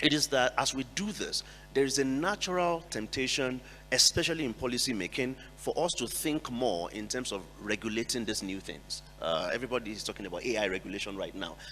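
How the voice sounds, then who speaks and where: A man at a medium pitch and fairly quick pace with lively intonation, music in the background. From Nigeria. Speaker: NGO executive director, panelist. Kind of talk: panel discussion.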